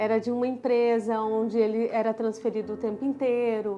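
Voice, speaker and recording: Over background music, a woman with a southern Brazilian accent speaks at a moderate pace and a fairly high pitch. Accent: southern Brazilian (gaúcho-like). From southern Brazil (Florianópolis; born in Pará). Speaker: dermatologist. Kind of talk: personal story vlog.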